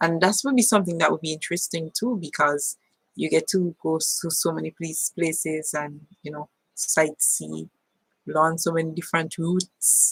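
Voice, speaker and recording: A somewhat breathy voice at a moderate pace, with ordinary pitch variation and a dry, close sound with no echo. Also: woman, fairly low pitch for a woman. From Saint Vincent and the Grenadines. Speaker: vlogger, teacher. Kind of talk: live stream chat reading viewer comments. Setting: live stream on webcam.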